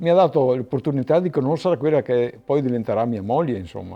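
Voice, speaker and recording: Lively intonation runs through a man's fairly high-pitched voice, which has a dark, mellow tone. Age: 60s. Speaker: winegrower. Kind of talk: testimony. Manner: halting.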